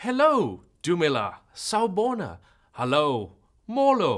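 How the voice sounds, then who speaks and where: A man with a South African accent speaks very slowly in a high, playful voice with very wide pitch swings. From South Africa, Cape Town. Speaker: cloud solutions architect, course instructor. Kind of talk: online course lecture. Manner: casual and playful.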